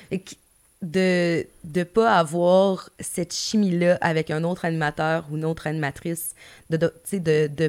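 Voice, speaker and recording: Fairly low-pitched female speech, very cleanly recorded against total background silence. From Gaspésie, Quebec. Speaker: music manager, former radio host. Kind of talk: casual interview.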